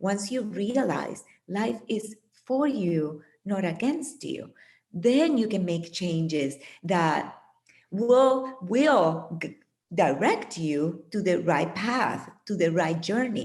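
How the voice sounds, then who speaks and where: A woman with a non-native accent speaks at a very slow pace from a medium pitch, with very wide pitch swings. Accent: foreign accent, persistent. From Puerto Rico. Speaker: meditation teacher and author. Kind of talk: interview.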